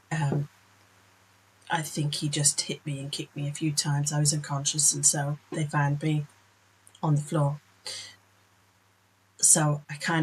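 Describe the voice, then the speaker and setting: Her pitch is very deep and low, and the woman sounds somewhat breathy. She keeps a moderate pace. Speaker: author and cartoonist. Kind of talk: casual talk to camera.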